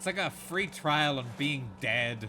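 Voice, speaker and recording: With an Irish accent, a man speaks fairly slowly at a medium pitch, his tone bright and sharp and his pitch varying in an ordinary way. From Ireland. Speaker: video game streamer. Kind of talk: casual chat. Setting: live stream. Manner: thinks aloud.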